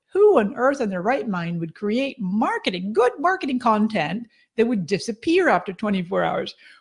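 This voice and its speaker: A woman with a fairly high, somewhat breathy voice speaks enthusiastically at a moderate pace. Her pitch swings very widely and she hardly pauses. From Scotland, Edinburgh. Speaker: social media marketing expert. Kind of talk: webinar presentation.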